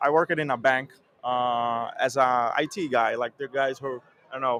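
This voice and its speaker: A man with a Portuguese accent, medium in pitch with a bright, sharp tone and fairly even intonation, in a dry, close sound with no echo. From Brazil, Recife. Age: 30s. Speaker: software QA engineer. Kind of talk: interview. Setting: conference venue. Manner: stutter.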